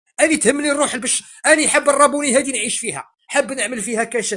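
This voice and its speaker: With an Algerian accent, a man speaks at a fairly quick pace in a bright, sharp tone. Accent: Algerian dialect, praised as delightful. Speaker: Algerian opposition participant in debate. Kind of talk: heated debate.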